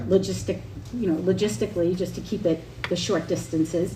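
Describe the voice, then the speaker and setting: Lively in intonation and fairly low in pitch, a woman speaks at a fairly quick pace amid noticeable background noise and audible room echo. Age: 50s. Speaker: senior services nonprofit representative. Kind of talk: public presentation at town board meeting. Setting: town board meeting. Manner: halting.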